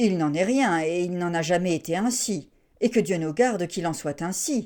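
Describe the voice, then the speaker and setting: A woman puts on a character voice, fairly low in pitch with ordinary pitch variation. She speaks at a moderate pace on a very clean recording with a silent background. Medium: read story. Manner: smooth, courteous.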